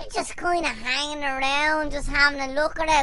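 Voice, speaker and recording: A woman's high, raised and projected voice, bright and sharp in tone, in an Irish accent at a moderate pace. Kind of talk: casual comedic chat.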